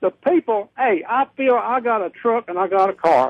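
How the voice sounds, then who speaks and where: A man with a North Carolina accent speaks at an extremely high pitch with ordinary pitch variation. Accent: Southern US (North Carolina). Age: 70s. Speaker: caller. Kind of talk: call-in radio conversation.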